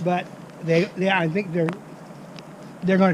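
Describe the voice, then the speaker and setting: A high-pitched man with fairly even intonation, over noticeable background noise. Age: 70s. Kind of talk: interview answer.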